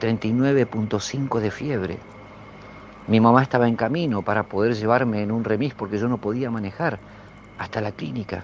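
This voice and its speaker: With music in the background, a man speaks fairly slowly in a Rioplatense accent at a fairly low pitch. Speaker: storyteller sharing a paranormal experience. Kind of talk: first-person storytelling. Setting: outdoors in a backyard.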